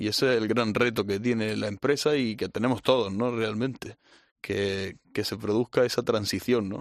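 At a moderate pace and with fairly even intonation, an unremarkable speaking voice comes through over a quiet background. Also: man, fairly low pitch for a man, dry, close sound with no echo. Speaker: bullfighting analyst. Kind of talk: casual chat.

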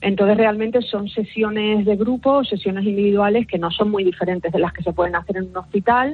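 In a Canary Islands accent, a woman talks at a fairly quick pace with hardly any pauses. Her medium pitch follows fairly even intonation. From Canary Islands (Lanzarote). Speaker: forensic psychologist. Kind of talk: radio interview.

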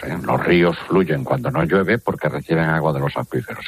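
Fairly quick speech with lively intonation over noticeable background noise. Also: man. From Galicia, Spain. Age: 60s. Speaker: water researcher. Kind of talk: interview.

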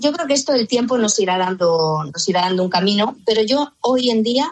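Lively intonation marks this woman's delivery. She has an unremarkable speaking voice and keeps a moderate pace. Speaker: voice actress. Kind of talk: radio interview.

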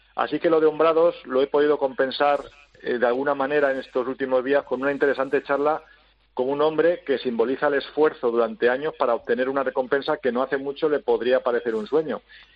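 Very fast, fairly even speech from a man with a fairly high pitch. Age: 50s. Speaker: sports journalist. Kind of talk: opinion column read on air.

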